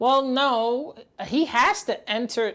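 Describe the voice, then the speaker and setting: A woman is speaking. She talks with a New York accent. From New York City, the Bronx. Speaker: gaming and pop culture streamer. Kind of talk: live stream reaction commentary.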